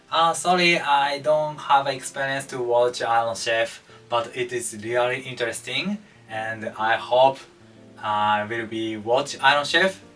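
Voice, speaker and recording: Over music in the background, a man with a Japanese accent talks at a fairly slow pace, his medium pitch showing ordinary variation. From Japan, Hokkaido. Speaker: cooking channel host. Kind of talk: casual Q&A monologue. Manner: halting, with frequent fillers.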